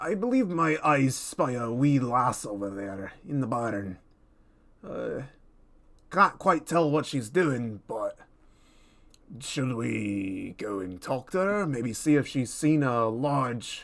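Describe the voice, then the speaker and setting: A put-on character voice from a man, medium in pitch, at a fairly slow pace. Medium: actual play. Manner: blunt, plain-spoken.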